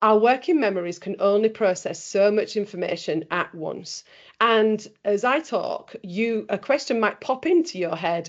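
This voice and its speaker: A woman with a Yorkshire accent, medium pitch, moderate pace, and lively intonation. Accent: Bradford, Yorkshire. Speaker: trainer. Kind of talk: webinar presentation. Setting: video call.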